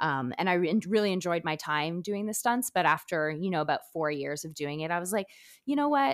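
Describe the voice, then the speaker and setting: Using an ordinary speaking voice, a woman speaks at a fairly quick pace with a fairly low pitch and lively intonation. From Quebec, Canada (small town near Montreal). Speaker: actor and stunt performer. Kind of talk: casual interview chat.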